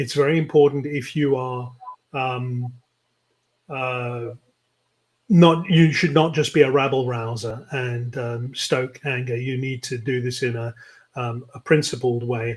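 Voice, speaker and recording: A man with a British accent speaks at a medium pitch, somewhat breathy, with fairly even intonation, big swings in loudness and long, frequent pauses. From London, England. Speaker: tech nonprofit CEO. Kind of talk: interview. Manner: halting, many fillers.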